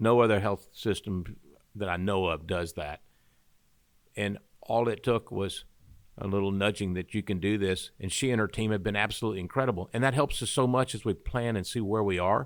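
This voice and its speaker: A man's fairly low voice at a fairly quick pace. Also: ordinary pitch variation, very clean recording, silent background. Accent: Southern US. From Arkansas, Pine Bluff. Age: 60s. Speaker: medical university chancellor. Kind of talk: interview.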